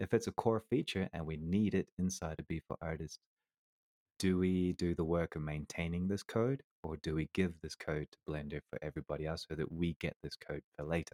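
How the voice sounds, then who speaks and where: With a slight New Zealand accent, a man talks at a fairly quick pace in a very deep, low voice, his tone dark and mellow and his pitch variation ordinary, recorded dry and close with no echo. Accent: slight New Zealand tinge. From Colombia, half New Zealander. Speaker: 3D artist. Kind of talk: casual interview.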